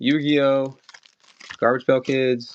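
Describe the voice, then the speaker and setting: A man with a medium pitch, monotone, flat intonation, and a slight Maryland accent. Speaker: online collectibles seller. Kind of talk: live-stream sales auction. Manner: casual, chatty.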